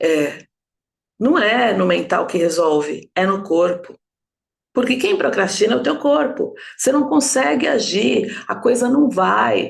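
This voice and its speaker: A woman speaks at a fairly slow pace in a fairly high voice with vocal fry. Her pitch swings very widely. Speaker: enneagram and trauma therapy teacher. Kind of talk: live online class. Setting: live stream. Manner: animated.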